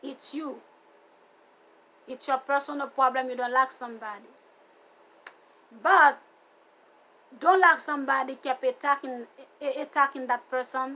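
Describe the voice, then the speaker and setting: With a raised, projected voice and an American accent, the speaker has a bright, sharp tone, big swings in loudness and a moderate pace. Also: woman, high pitch for a woman. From outside the US, came at seventeen. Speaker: vlogger. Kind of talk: personal vlog rant. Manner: animated, repetitive.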